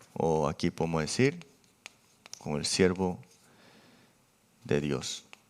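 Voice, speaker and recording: At a very slow pace, a man with a very deep, low pitch and ordinary pitch variation speaks with long, frequent pauses. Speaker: pastor. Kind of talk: sermon. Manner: halting.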